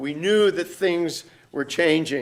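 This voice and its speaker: The man's voice sits at a high pitch. Its pitch variation is ordinary. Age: 60s. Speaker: pastor and symposium speaker. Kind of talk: conference talk. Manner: halting, many repetitions.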